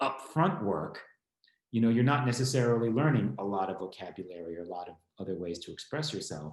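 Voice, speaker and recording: A man talks at a fairly quick pace and medium pitch. Room echo is audible. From US Northeast, small town in Connecticut. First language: Spanish. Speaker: law school administrator and guest speaker. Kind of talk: informal lecture. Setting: online event.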